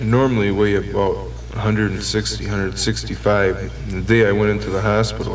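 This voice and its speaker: A man talks at a moderate pace. Behind him, music plays in the background. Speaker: recovering heroin addict telling his story. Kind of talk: radio program interview answer. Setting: vintage 1972 radio recording.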